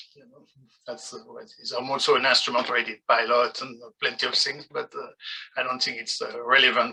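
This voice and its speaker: A man with a French accent at a fairly quick pace, his loudness swinging widely. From France. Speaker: parent, candidate for office. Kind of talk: candidate speech. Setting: video call.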